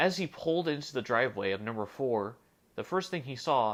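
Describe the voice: Lively intonation over plain reading aloud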